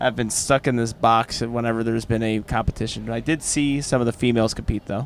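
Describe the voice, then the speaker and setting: With ordinary pitch variation, a man talks at a very fast pace and a medium pitch. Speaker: powerlifting commentator. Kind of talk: live commentary. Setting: commentary booth at live competition, headphones. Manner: casual, joking.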